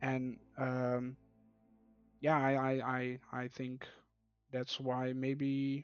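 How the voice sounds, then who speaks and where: Over music in the background, a man at medium pitch talks very slowly in monotone, flat intonation, with long, frequent pauses. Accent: Dutch. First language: Dutch. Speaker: team captain, competitive gamer. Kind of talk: casual interview. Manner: soft-spoken; calm, hesitant.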